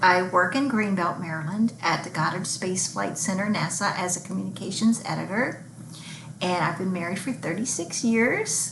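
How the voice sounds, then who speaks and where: The speech goes at a moderate pace, with audible room echo and noticeable background noise. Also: woman, medium pitch for a woman, ordinary pitch variation. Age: 60s. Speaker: book vlogger. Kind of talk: casual vlog monologue. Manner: halting.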